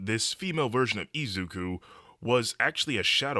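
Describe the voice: The intonation here is lively. It's plain reading aloud.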